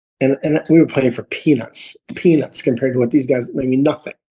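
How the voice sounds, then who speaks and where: In an American accent, a dark, mellow voice moves at a fairly quick pace. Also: man. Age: 60s. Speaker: golf instructor. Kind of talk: casual chat. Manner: animated.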